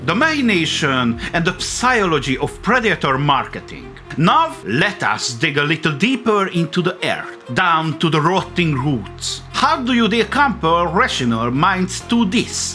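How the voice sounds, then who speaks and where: Music plays behind a man with a strong non-native accent and a high pitch. He speaks fairly slowly with very wide pitch swings and hardly any pauses. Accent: heavy non-native English. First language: not English. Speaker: video essay host. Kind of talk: video essay narration.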